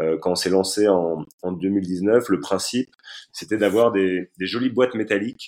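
A man talks at a fairly slow pace in a fairly low pitch, keeping his intonation fairly even. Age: 30s. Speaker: entrepreneur. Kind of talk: interview. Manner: halting, many repeated words and fillers.

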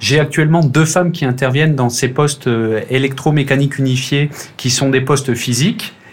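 A man speaks at a medium pitch and a moderate pace, with ordinary pitch variation and noticeable background noise. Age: 30s. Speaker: railway team manager. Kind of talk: casual interview. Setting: remote call.

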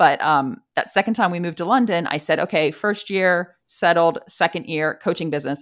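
An ordinary speaking voice, a woman with an American accent talks at a moderate pace and fairly low pitch, with ordinary pitch variation, hardly any pauses and a very clean recording with a silent background. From US East Coast. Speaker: expat and career coach. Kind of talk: casual interview.

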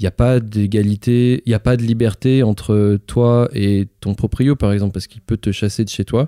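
The recording is very clean with a silent background. A man with a dark, mellow tone and medium pitch speaks at a moderate pace, with fairly even intonation and hardly any pauses. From France, Lyon. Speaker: musician and artistic director. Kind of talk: casual chat. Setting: in person at home in Lyon. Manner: halting, many hesitations.

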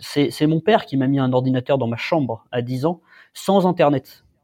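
A man speaks in a normal speaking voice at a fairly slow pace. His pitch is fairly high, with ordinary variation. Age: 20s. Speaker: tech startup founder. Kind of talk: interview. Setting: remote call.

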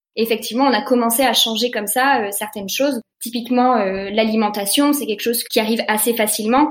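Speaking at a fairly quick pace with hardly any pauses, a woman uses a plain, everyday voice, fairly high in pitch, with fairly even intonation. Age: 20s. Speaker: eco-fashion concept store co-founder. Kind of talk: interview.

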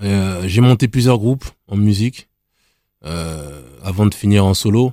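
A man talks at a fairly low pitch in a dark, mellow tone. The recording is very clean, with a silent background and a dry, close sound with no echo. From Île-de-France (Nemours, 77). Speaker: former taekwondo athlete and rapper. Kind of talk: casual chat.

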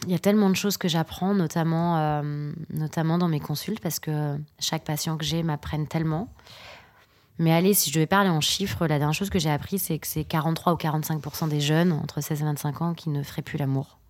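On a very clean recording with a silent background, a woman speaks at a moderate pace in a very deep, low pitch with fairly even intonation. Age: 30s. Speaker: sex therapist and couples therapist. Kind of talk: casual interview. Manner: halting, many hesitations.

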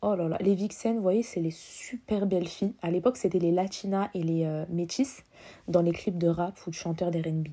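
In a very clean recording with a silent background, a woman with a fairly low, dark and mellow voice speaks at a moderate pace with ordinary pitch variation. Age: 20s. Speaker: podcaster. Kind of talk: casual monologue. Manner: spontaneous, some stammering.

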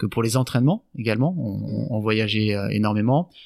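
With music in the background, a man talks in a medium pitch at a fairly quick pace. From France, Landes. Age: 30s. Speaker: business owner and former pro surfer. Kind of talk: interview. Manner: halting.

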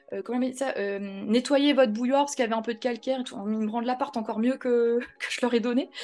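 At a very fast pace with hardly any pauses, a woman talks in a high pitch over noticeable background noise. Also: fairly even intonation. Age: 30s. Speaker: real estate investor and trainer. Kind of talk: casual interview.

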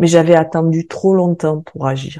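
Dark and mellow in tone, a woman's voice sits very deep and low in pitch. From southern France (Occitanie, near Hérault). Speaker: sophrologist and podcast host. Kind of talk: scripted personal testimony.

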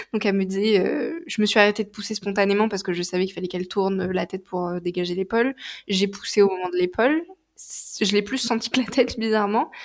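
A woman speaks at a very fast pace with a medium pitch and ordinary pitch variation over noticeable background noise. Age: 20s. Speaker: naturopath. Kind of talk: testimony. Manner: hesitant, many fillers.

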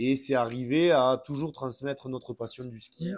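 A man with an ordinary speaking voice, mid-range pitch, normal melodic variation and a moderate rate of speech. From France, from a city. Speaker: ski instructor. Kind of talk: casual interview.

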